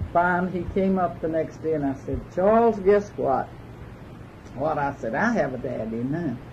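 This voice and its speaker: Lively intonation runs through this somewhat breathy voice with an American accent. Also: woman, very deep, low pitch for a woman, moderate pace. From Georgia. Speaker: legal secretary and office manager. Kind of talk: interview answer.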